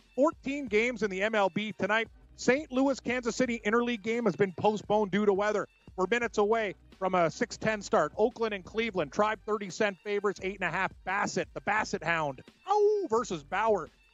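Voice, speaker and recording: A man's high-pitched voice with ordinary pitch variation and music in the background. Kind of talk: rapid-fire odds announcer reading lines. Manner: fast, clipped, numbers rattled off, formal.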